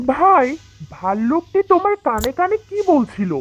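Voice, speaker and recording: A cartoonish character voice speaks at a high pitch. It moves at a moderate pace with very wide pitch swings. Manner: casual, self-serving.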